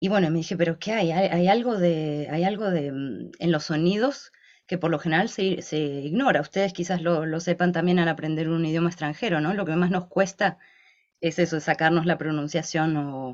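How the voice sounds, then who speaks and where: With a fairly low pitch and ordinary pitch variation, a woman speaks at a moderate pace. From Argentina. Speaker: linguistics researcher and YouTuber. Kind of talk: interview. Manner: hesitant, many fillers.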